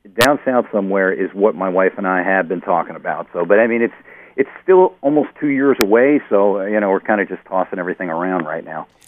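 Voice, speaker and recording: A man speaks in a plain, everyday voice with an American accent. His pace is fairly quick, with ordinary pitch variation. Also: fairly low pitch for a man. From New Jersey. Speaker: caller. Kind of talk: radio call-in.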